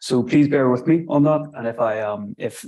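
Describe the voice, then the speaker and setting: With a Northern Irish accent, a man speaks at a moderate pace with ordinary pitch variation. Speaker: archaeology lecturer. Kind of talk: lecture. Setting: lecture room with live stream. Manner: halting.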